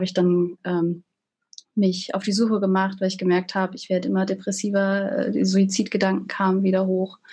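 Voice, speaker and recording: The voice is somewhat breathy. Its intonation stays flat and monotone. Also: woman. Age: 20s. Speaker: social work student. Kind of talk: interview.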